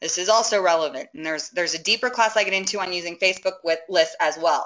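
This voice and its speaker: This woman speaks at a very fast pace, her medium pitch showing ordinary variation. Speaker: webinar presenter, social media marketing consultant. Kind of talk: webinar presentation with live demo. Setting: online webinar. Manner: energetic, enthusiastic.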